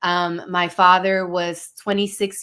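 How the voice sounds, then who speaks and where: A woman with a Spanish accent speaks at a fairly low pitch. Her tone is bright and sharp. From Dominican-American. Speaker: life coach, podcast guest. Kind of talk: personal storytelling interview. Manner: conversational, filler-heavy.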